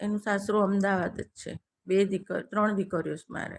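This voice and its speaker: Her pitch sitting at a medium level, a woman uses an ordinary speaking voice. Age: 60s. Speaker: live-stream host. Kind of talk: casual live-stream chat with viewers.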